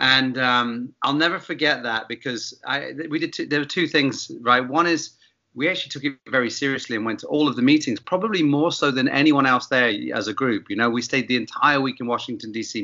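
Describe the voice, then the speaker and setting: With a southern English accent, a man talks at a fairly quick pace in a medium-pitched voice with ordinary pitch variation. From England, Bath. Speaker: gin company founder, former bartender. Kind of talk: casual interview.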